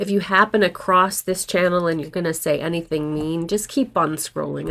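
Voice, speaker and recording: A woman with a normal speaking voice, at a moderate pace with ordinary pitch variation, in a very clean recording with a silent background. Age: 60s. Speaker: actor and acting coach vlogger. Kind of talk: casual vlog talk to camera. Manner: conversational, candid.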